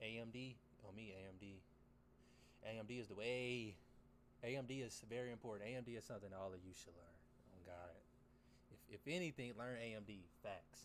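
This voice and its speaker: Amid audible room echo, a man with a fairly low pitch talks at a fairly quick pace, leaving long, frequent pauses. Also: ordinary pitch variation. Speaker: trading livestreamer. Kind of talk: casual livestream commentary. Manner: fast.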